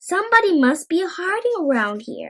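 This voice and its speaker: A woman puts on a character voice, extremely high-pitched and with very wide pitch swings. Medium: read story.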